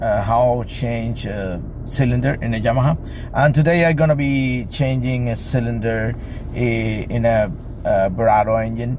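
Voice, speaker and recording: There is noticeable background noise and audible room echo. A man speaks at a medium pitch with ordinary pitch variation. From Cuba. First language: Spanish. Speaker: boat mechanic. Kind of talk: tutorial. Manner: halting.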